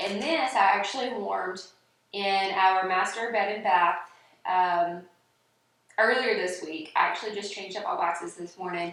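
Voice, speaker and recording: Long, frequent pauses break up a woman's moderate-paced speech, which has a Southern US accent and ordinary pitch variation. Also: medium pitch for a woman. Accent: Southern US twang. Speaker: home fragrance reviewer. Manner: casual, chatty, uses fillers.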